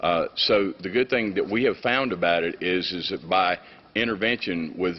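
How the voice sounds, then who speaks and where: A man with a Southern US accent at a moderate pace. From US South, Mississippi. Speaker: state attorney general. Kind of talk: formal testimony to international committee. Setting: UN council hearing with interpreters. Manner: hesitant with fillers.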